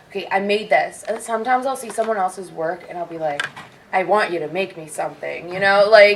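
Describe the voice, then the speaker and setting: Amid noticeable background noise, a woman with an American accent talks at a fairly quick pace and a medium pitch. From California. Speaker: cosplayer panelist. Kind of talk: convention panel discussion. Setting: stage with audience.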